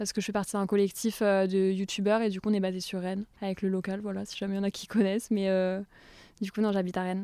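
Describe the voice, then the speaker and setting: A woman at a medium pitch rushes along at a very fast pace, her dark, mellow tone held in a monotone, flat intonation. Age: 20s. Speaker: content creator. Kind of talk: casual chat. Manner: hesitant, many fillers.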